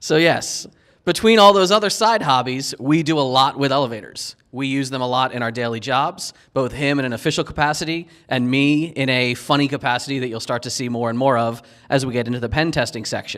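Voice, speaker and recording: A man with an American accent speaks fairly quickly in a medium pitch. His is a plain, everyday voice with ordinary pitch variation. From US Northeast, Philadelphia. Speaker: security consultant, penetration tester. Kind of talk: conference talk. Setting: stage with audience.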